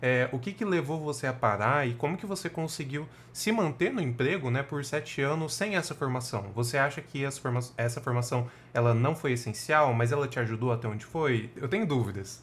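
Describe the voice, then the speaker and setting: A man's somewhat breathy, medium-pitched voice at a fairly quick pace, with ordinary pitch variation and hardly any pauses. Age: 20s. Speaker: podcast co-host, project manager. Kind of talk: casual chat.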